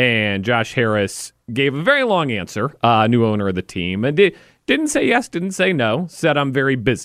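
An unremarkable speaking voice belongs to a man with a medium pitch, moving at a moderate pace with lively intonation. The recording is very clean with a silent background and a dry, close sound with no echo. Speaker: sports radio host. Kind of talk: sports talk radio. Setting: radio studio.

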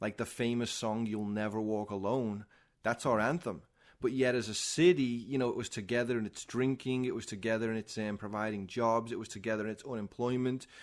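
A man with a strong Liverpool accent talks at a fairly quick pace over a quiet background. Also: medium pitch for a man. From Liverpool, England. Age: 40s. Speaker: former pro skateboarder. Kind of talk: testimony. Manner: animated.

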